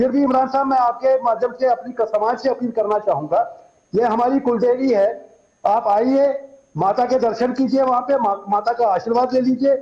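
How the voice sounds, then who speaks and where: A man with an extremely high pitch, a dark, mellow tone, fairly even intonation and very even loudness. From Kashmir. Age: 60s. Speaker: Kashmiri Pandit community activist. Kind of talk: TV news interview. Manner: halting, with repeated false starts.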